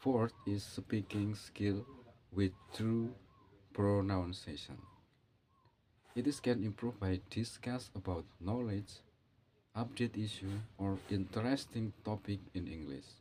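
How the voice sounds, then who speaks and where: A man with an Indonesian accent speaks very slowly, with long, frequent pauses, at a fairly low pitch with ordinary pitch variation. His somewhat breathy voice has a dark, mellow tone. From Indonesia, Java. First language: Javanese. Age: 40s. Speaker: English learner vlogger. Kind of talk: monologue on learning English. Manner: halting, non-native phrasing.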